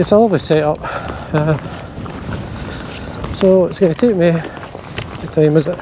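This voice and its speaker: Noticeable background noise sits under this voice with a Scottish accent. The pace is fairly slow. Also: man. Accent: Scottish (Ayrshire). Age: 60s. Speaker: fly fishing vlogger. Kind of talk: casual outdoor vlog narration. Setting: outdoors, hills.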